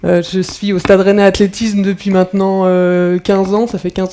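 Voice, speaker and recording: A woman with a medium-pitched voice talks at a moderate speed. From France, Brittany (Rennes). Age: 30s. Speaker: professional athlete. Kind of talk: talk to school pupils. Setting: conference hall with audience. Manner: hesitant, many fillers.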